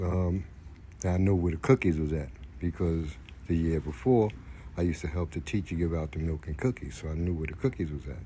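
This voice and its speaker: This man has a very deep, low pitch and a dark, mellow tone that is somewhat breathy. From Brooklyn, New York. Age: 60s. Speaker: storyteller, former prisoner. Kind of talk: personal storytelling. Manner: hesitant, many fillers.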